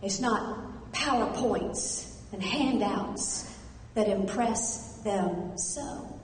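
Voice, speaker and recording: Over noticeable background noise, a woman with an American accent speaks at a very slow pace in a warm tone with fairly even intonation. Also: medium pitch for a woman. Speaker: motivational speaker and comedian. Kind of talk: rhyming spoken-word motivational piece. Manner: rhythmic, emphatic, warm.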